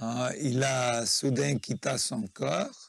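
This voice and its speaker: A man with a Nepali accent, the sound dry and close with no echo. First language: Nepali (speaking French). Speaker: spiritual practitioner, interviewee. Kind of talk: interview, life story. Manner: halting.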